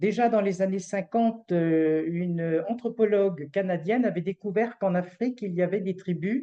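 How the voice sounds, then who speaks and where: A woman talks at a moderate pace with hardly any pauses. Her medium-pitched voice shows ordinary pitch variation. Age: 60s. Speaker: retired hospital civil servant presenting a fundraising association. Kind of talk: online presentation. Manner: hesitant, many fillers.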